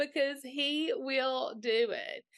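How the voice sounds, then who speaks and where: A woman's bright, sharp tone with an American accent, over a quiet background. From Mississippi, US South. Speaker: podcaster and life coach for moms. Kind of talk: casual interview.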